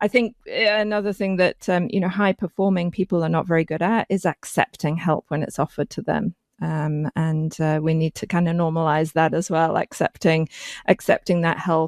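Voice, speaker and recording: Here a woman with an ordinary speaking voice talks at a moderate pace, her pitch fairly low and her intonation fairly even. The sound is dry and close with no echo, on a very clean recording with a silent background. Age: 50s. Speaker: physician podcast host. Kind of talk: interview podcast.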